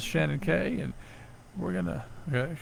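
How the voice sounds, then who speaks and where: With an American accent, a man talks amid audible room echo. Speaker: radio host. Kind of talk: casual chat.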